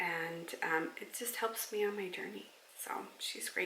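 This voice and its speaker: A woman talks at a fairly slow pace. Her voice carries audible room echo over noticeable background noise. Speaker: weight loss vlogger. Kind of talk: casual vlog chat. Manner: hesitant, many fillers.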